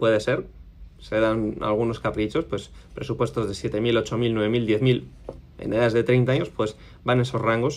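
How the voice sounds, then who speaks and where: A man with a Spanish accent, fairly slow pace and ordinary pitch variation. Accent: Spain Spanish. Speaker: custom motorcycle workshop owner. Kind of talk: casual vlog monologue. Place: office. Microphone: phone near.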